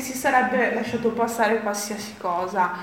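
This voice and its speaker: A woman's voice at a fairly slow pace, with ordinary pitch variation, audible room echo and noticeable background noise. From Friuli, Italy. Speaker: author. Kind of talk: book presentation talk.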